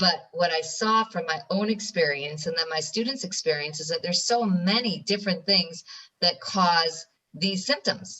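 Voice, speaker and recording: Speaking at a moderate pace, this voice has an American accent and ordinary pitch variation. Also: woman. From New York, US. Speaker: ADHD specialist. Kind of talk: interview.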